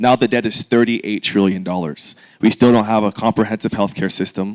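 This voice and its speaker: In a very clean recording with a silent background, a man with a fairly low pitch speaks in a plain, everyday voice at a fairly quick pace, with fairly even intonation and a dry, close sound with no echo. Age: 20s. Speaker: congressional candidate. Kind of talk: candidate forum opening statement.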